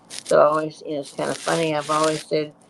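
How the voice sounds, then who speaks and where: A woman speaks over noticeable background noise. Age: 80s+. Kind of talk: casual chat. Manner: halting.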